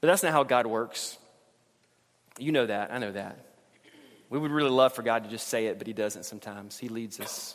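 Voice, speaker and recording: A man's warm voice at a fairly quick pace, with big swings in loudness, long, frequent pauses and ordinary pitch variation. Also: medium pitch for a man. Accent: Southern US. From US South, Alabama. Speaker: pastor. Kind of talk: sermon. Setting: church. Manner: informal, humorous, warm.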